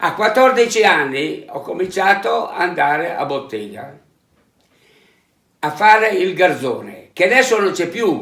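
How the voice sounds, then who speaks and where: Pausing long and often at a fairly slow pace, a man with a high pitch and a bright, sharp tone uses lively intonation, with audible room echo around him. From northern Italy, Ferrara province (Emilia-Romagna). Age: 80s+. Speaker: retired welder and inspector. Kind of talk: interview.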